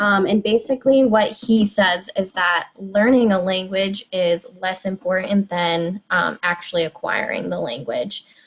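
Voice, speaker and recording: A woman with an American accent at a fairly slow pace, over noticeable background noise. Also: medium pitch for a woman, ordinary pitch variation. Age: 20s. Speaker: high school Spanish teacher. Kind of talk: presentation. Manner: frequent filler words (um, like).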